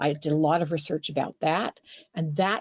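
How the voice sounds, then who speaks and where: With an American accent, a woman speaks at a fairly low pitch in a plain, everyday voice. Her pace is moderate. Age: 60s. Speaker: graphic memoirist and writing teacher. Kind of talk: interview.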